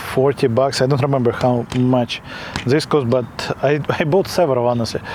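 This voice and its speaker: Against noticeable background noise, a man with a non-native accent speaks in a medium pitch with monotone, flat intonation. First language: not English. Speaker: product reviewer. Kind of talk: product review. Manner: halting, many fillers; casual.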